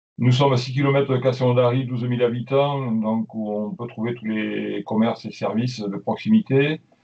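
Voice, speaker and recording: A man with a southern French accent at medium pitch, moderate pace, fairly even intonation and hardly any pauses. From southern France, Aude near Toulouse. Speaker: deputy mayor. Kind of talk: webinar presentation. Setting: online webinar.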